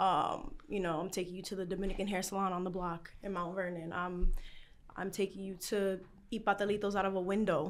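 With an American accent, a woman talks fairly quickly at a medium pitch in a plain, everyday voice, her intonation fairly even. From New York, the Bronx. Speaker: content creator and documentary producer. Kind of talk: casual chat. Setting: restaurant.

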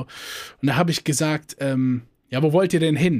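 An animated man at a fairly high pitch, moderate pace and ordinary pitch variation, on a very clean recording with a silent background. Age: 20s. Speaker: podcast co-host. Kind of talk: casual chat.

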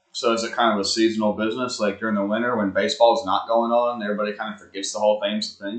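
A man with an Alabama accent rushes along at a very fast pace with hardly any pauses, his medium pitch held in a monotone, flat intonation. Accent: Southern US (Alabama). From US South, Huntsville, Alabama. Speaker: podcast co-host. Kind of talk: casual chat.

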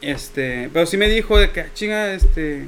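Amid noticeable background noise, a voice with a Mexican accent speaks at a fairly slow pace with very wide pitch swings. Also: man. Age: 20s. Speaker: musician. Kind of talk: casual chat.

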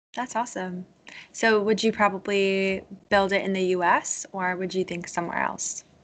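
A woman's medium-pitched, plain, everyday voice with ordinary pitch variation at a fairly slow pace. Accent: American. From US Northeast, Connecticut. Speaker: podcast host. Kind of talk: interview conversation.

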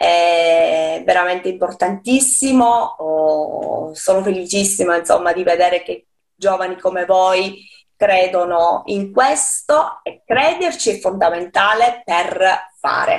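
A woman with a medium pitch speaks at a very slow pace, her pitch varying in an ordinary way. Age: 40s. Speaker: poet. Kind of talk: interview. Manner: halting.

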